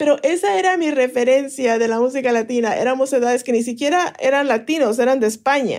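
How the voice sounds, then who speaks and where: Speaking very fast with hardly any pauses, a woman keeps a high pitch, ordinary pitch variation and very even loudness. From Mexico City. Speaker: podcast creator. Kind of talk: interview.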